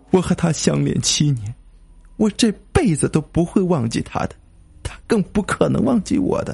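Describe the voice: Putting on a character voice, a man uses a fairly high pitch, big pitch swings and a moderate pace, his slightly mellow tone carrying vocal fry and a husky, rough edge.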